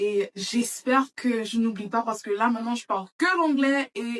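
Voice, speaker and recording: Recorded with a dry, close sound and no echo, a woman talks at a fairly slow pace in a fairly high pitch. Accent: English. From Florida, Saint-Martin and France (mixed childhood). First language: English (speaking French). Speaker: beauty vlogger. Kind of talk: casual makeup vlog chat. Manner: halting, with hesitations.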